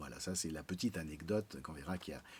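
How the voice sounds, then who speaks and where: The recording is very clean, and the background is silent. The speaker is a man. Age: 60s. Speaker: patient giving testimonial, amateur pianist. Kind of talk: testimony. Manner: hesitant, frequent 'euh'.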